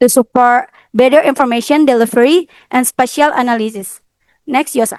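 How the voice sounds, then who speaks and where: A woman speaks at a high pitch and a moderate pace with ordinary pitch variation. The sound is dry with no echo, over a quiet background. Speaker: university student presenter; presenter. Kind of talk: student presentation. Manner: halting. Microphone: video call.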